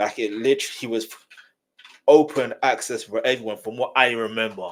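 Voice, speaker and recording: Fairly quick speech from a man with a British accent and medium pitch. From England, UK-born of Nigerian heritage. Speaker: YouTube reaction commentator. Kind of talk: casual reaction commentary. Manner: casual, conversational, repetitive fillers.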